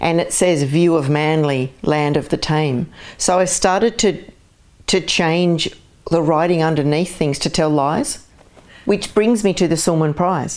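A woman with an Australian accent, fairly low pitch, ordinary pitch variation, very even loudness and a fairly slow pace. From Australia, Sydney area (born in Glasgow). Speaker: artist. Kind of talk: interview conversation. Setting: at home.

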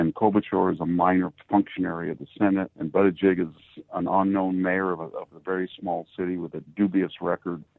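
A man talks with a very deep, low pitch and fairly even intonation. He moves at a fairly quick pace with hardly any pauses. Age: 60s. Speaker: historian and political commentator. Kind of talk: radio interview. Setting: remote call from his hometown.

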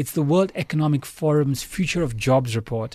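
On a very clean recording with a silent background, a man speaks at a fairly high pitch, somewhat breathy, with ordinary pitch variation. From South Africa, Chatsworth, Durban. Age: 30s. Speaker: business executive. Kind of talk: radio interview. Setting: radio studio.

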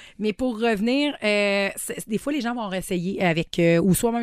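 A woman with a Quebec accent speaks at a medium pitch and moderate pace, with ordinary pitch variation. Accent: Québécois French. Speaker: sex shop owner. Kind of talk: casual chat. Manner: hesitant, many fillers.

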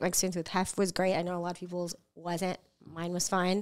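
In a normal speaking voice, a woman with an American accent talks at a fairly quick pace and a medium pitch. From US West Coast, San Diego. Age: 40s. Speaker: actress and stand-up comedian. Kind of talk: casual chat.

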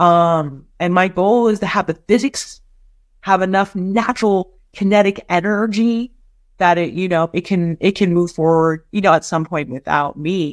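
In an American accent, a woman with a plain, everyday voice talks at a fairly slow pace, fairly low in pitch with ordinary variation, in a dry, close sound with no echo. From US West Coast, San Francisco. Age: 50s. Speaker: nonprofit executive. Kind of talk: interview. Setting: remote interview from her office.

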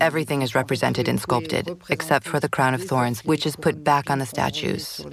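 A woman's very deep, low voice at a fairly quick pace, with fairly even intonation and noticeable background noise. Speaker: visual artist. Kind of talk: interview.

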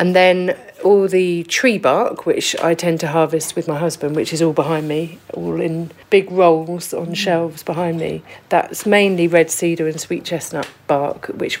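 The speech runs at a moderate pace with hardly any pauses and fairly even intonation. Noticeable background noise sits behind it. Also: woman. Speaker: basket maker. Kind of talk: casual interview. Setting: workshop.

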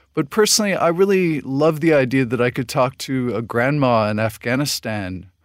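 A man with an American accent speaks at a medium pitch and moderate pace in a plain, everyday voice. The sound is dry and close, with no echo. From US Southwest, New Mexico. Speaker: podcast host. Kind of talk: interview; scripted narration.

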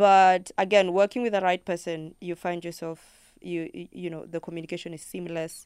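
A woman with a Kenyan accent speaks at a moderate pace, her pitch fairly low and her intonation fairly even. The recording is very clean, with a silent background. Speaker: singer-songwriter. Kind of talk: radio interview. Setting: studio.

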